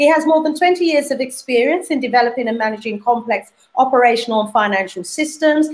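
A woman with a British accent speaks at a very fast pace. Her high pitch carries lively intonation. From UK. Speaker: talk show host. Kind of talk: live panel talk show. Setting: video call. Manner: warm and animated. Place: home room.

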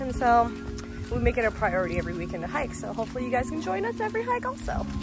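A woman talks at a very fast pace. Clear music plays behind her, and the sound is dry with no echo. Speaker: hiker vlogger. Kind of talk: casual vlog chat. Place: forest. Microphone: phone near.

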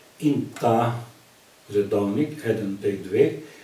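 In a room with audible echo, a man speaks with a dark, mellow, somewhat breathy tone and ordinary pitch variation. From Slovenia, Zreče area. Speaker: cultural society member. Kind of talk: casual chat.

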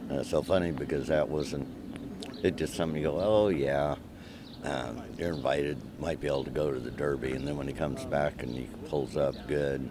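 Through noticeable background noise, a man with a very deep, low voice speaks at a fairly quick pace with fairly even intonation. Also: dry sound with no echo. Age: 60s. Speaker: jockey. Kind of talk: interview. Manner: halting. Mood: relaxed, modest, pleased. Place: farm machine. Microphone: phone near.

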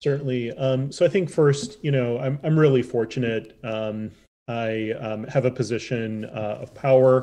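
A man with an American accent speaks at a moderate pace. His tone is dark and mellow, with ordinary pitch variation. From Chicago south suburbs. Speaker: public health doctor. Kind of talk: interview. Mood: warm, grateful. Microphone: webcam.

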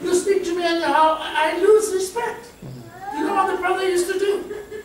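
Ordinary pitch variation is heard with audible room echo and light background noise. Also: man. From South Africa. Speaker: preacher. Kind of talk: sermon. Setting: church. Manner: animated, conversational preaching with amens and laughter. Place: church.

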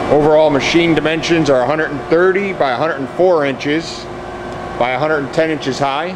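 Noticeable background noise is audible throughout. The words come out at a fairly quick pace. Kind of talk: product walkaround description. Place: factory. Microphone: phone near.

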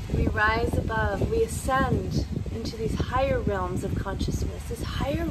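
Loud background noise sits behind the speaker. A woman talks at a fairly slow pace. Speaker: meditation guide. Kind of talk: guided meditation. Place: garden.

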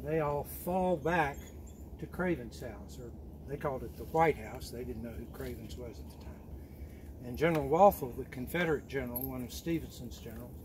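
A man with a fairly low pitch speaks at a fairly quick pace, with very wide pitch swings and big swings in loudness. Light background noise runs beneath him. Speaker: hike guide telling local history. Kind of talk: informal historical talk to a group. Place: forest.

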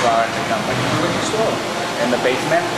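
Loud background noise sits behind a man talking. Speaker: factory tour guide. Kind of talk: tour explanation. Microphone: camera far.

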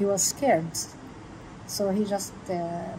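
Monotone, flat intonation with an Arabic accent, noticeable background noise and audible room echo. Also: woman. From Palestine, Hebron. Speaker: local tour guide. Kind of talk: guided walking tour. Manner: halting, many fillers.

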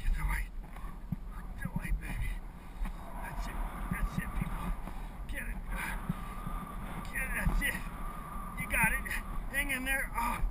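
A man speaks at a very slow pace with long, frequent pauses, the sound dry with no echo but loud background noise present. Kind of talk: self-talk commentary. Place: bicycle. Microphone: phone near.

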